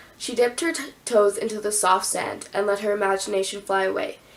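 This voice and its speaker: Noticeable background noise runs behind a woman with a medium pitch. Her intonation is fairly even. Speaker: YouTuber. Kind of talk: reading aloud own poems with commentary. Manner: casual, filler-heavy.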